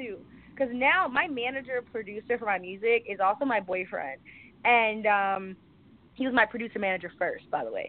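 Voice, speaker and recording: A woman speaks at a fairly quick pace with a New York accent, her fairly high pitch showing ordinary variation. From New York City, the Bronx. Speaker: model, actress and rapper. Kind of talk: interview.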